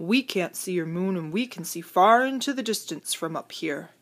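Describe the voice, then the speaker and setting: A woman uses a put-on character voice that is growling and rumbling. Her pitch is medium, and her pace is moderate. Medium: read story.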